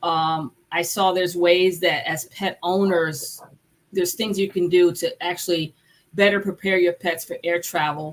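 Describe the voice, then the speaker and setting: A woman with an unremarkable speaking voice talks at medium pitch and a fairly slow pace. Her intonation stays fairly even. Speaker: veterinarian and podcast host. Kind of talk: casual chat.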